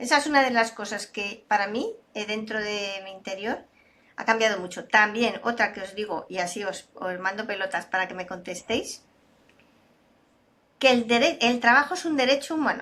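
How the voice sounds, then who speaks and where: At a moderate pace, a woman speaks in a bright, sharp tone with a fairly high pitch, ordinary pitch variation, and big swings in loudness. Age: 60s. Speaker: data and AI expert, speaker. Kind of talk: interview conversation.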